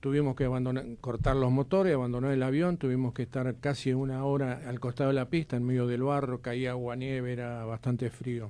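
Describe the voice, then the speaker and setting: A man talks at a fairly quick pace and medium pitch. His tone is dark and mellow. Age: 80s+. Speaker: retired air force officer and war veteran. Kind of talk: radio interview, personal testimony.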